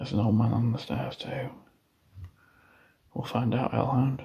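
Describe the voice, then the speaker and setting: A quiet man with an English accent, fairly even intonation, long, frequent pauses and audible room echo. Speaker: paranormal investigator streamer. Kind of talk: live stream ghost hunt. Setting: outdoors, abandoned house at night. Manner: hushed, quiet.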